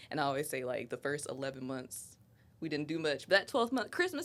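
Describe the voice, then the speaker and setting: A woman speaks with an Ohio accent. Her tone is animated and her pace fairly quick. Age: 20s. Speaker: podcast guest, mother. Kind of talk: casual chat.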